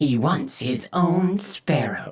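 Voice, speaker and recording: A man's put-on character voice, pitched high. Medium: read story. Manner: dry, skeptical.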